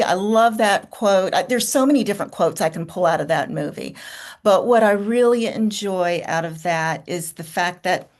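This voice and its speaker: A woman with an American accent at a medium pitch and moderate pace, over a quiet background. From US South, rural farm. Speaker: creative guest. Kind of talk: casual roundtable chat.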